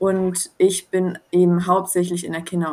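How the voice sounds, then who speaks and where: An ordinary speaking voice from a woman, medium in pitch, at a fairly slow pace. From southern Baden, near Swiss border. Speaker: social work student. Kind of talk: interview.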